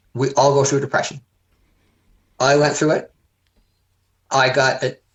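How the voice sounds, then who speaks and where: A man with a Canadian accent talks at a very fast pace. His fairly high voice is somewhat breathy. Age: 70s. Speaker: heart transplant recipient, community volunteer. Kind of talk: casual chat.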